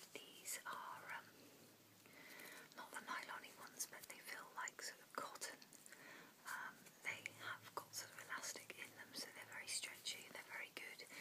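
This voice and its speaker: Whispering at a moderate pace, a woman speaks with long, frequent pauses. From UK. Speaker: ASMR vlogger. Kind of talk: casual ASMR ramble to camera. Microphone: phone near.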